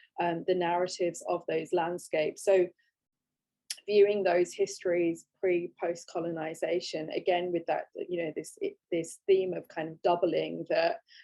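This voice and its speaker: A woman talks at a moderate pace. She speaks with a British accent. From England. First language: Gujarati. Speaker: photographic artist. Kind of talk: online panel talk. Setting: online video talk. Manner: halting, many fillers.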